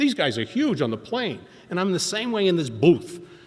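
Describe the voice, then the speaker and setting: At a very fast pace, a man talks with an American accent. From Boston. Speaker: recovery speaker at AA meeting. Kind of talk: recovery talk, storytelling. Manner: animated.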